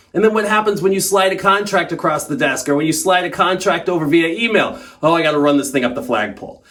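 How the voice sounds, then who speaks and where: A man's high-pitched voice at a very fast pace, lively intonation and hardly any pauses, amid audible room echo and noticeable background noise. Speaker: sales trainer. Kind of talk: tutorial. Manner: animated.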